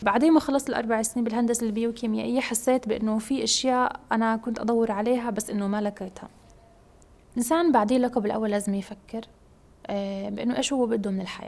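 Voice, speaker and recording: A woman with a fairly high pitch speaks at a fairly quick pace, keeping her intonation fairly even. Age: 20s. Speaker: PhD student in biomedical engineering. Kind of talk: interview testimony. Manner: hesitant, many fillers.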